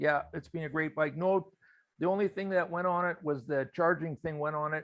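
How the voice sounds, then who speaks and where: A man talks with an unremarkable speaking voice. His intonation is fairly even and his pace moderate. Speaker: biker meetup host. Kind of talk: casual chat. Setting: video call.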